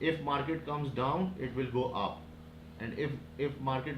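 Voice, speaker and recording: Noticeable background noise and audible room echo around a fairly high-pitched male voice. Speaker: forex trading teacher. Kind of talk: tutorial. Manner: halting.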